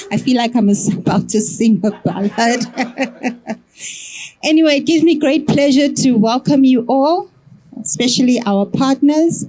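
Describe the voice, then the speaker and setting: A woman speaks in a high voice with lively intonation and very even loudness. Noticeable background noise runs underneath. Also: fairly slow pace. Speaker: executive director. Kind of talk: welcoming address. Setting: stage with audience, microphone.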